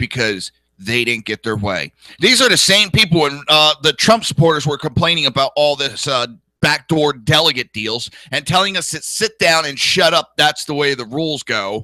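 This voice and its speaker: A man with a New Jersey accent and a fairly high pitch for a man speaks at a moderate pace with lively intonation. His tone is animated and bright, sharp, with a dry, close sound and no echo. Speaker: political talk show host. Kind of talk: political talk show monologue.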